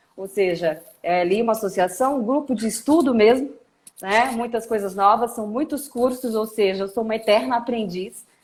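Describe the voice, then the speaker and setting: A woman's fairly high voice with ordinary pitch variation at a moderate pace. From Brasília. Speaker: lawyer, data protection specialist. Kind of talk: live stream interview.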